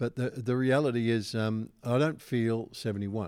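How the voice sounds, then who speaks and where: A man's medium-pitched voice holds fairly even intonation. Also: dry, close sound with no echo, very clean recording, silent background. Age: 70s. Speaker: pastor and speaker. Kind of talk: interview answers.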